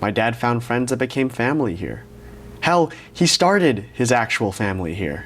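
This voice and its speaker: A man's medium-pitched voice at a moderate pace, with very wide pitch swings. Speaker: vlogger. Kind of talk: scripted narration; casual vlog talk.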